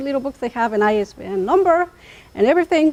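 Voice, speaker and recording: A woman speaks at a moderate pace while her pitch swings very widely. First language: Chatino. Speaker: linguist. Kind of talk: academic talk.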